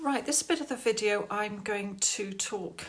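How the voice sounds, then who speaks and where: A woman speaks with an English accent. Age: 60s. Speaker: YouTuber. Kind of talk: casual vlog. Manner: loud.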